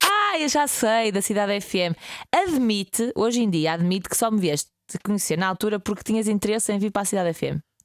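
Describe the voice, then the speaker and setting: A woman with an unremarkable speaking voice talks at medium pitch with ordinary pitch variation, in a dry, close sound with no echo. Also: fairly quick pace. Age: 20s. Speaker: radio host. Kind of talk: casual chat.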